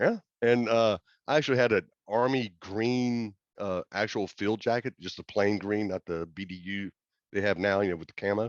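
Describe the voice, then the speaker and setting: A normal speaking voice: a man at a fairly low pitch and a moderate pace, with fairly even intonation, in a dry, close sound with no echo over a quiet background. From US South, Gulfport Mississippi. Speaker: former concert roadie and drum tech. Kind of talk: casual chat.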